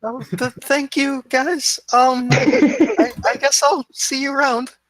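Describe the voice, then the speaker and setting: A put-on character voice, hoarse and strained, comes out at a high pitch and a very slow pace. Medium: actual play.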